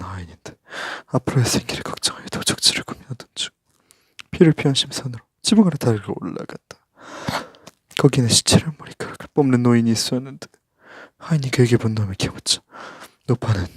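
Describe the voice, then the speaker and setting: A man speaks at a medium pitch and a fairly quick pace, with ordinary pitch variation and big swings in loudness. Long, frequent pauses break up his speech, and the sound is dry and close with no echo. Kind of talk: ASMR reading of a book report.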